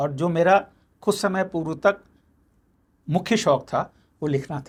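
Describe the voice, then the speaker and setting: A high-pitched male voice with ordinary pitch variation, on a very clean recording over a silent background. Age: 70s. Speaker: mentalist and magician. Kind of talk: interview conversation.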